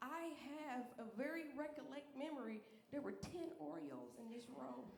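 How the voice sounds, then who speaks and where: A woman speaks with a high pitch and lively intonation. Audible room echo and noticeable background noise surround her. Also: moderate pace. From Alabama. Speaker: comedian. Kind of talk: stand-up. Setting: stage with audience. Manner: animated.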